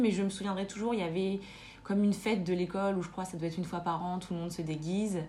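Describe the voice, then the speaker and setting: A woman talks at a very fast pace in a somewhat breathy voice of medium pitch with ordinary pitch variation. Room echo is audible. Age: 20s. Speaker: nurse. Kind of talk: casual chat. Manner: halting.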